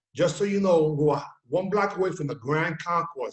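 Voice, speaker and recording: Speaking at a fairly quick pace, a man has a New York accent. His pitch is fairly high and his intonation fairly even. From New York City, Bronx. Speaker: talk show host. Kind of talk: casual chat.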